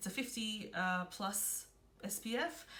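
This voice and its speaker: Her voice has a bright, sharp tone, and this woman speaks with an Australian accent and ordinary pitch variation. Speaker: beauty vlogger. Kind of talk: casual product review vlog.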